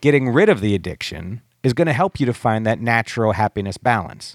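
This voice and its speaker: In a very clean recording with a silent background and a dry, close sound with no echo, a man with an American accent and a normal speaking voice talks at a fairly quick pace and medium pitch. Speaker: recovery podcast host. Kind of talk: casual chat. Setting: studio.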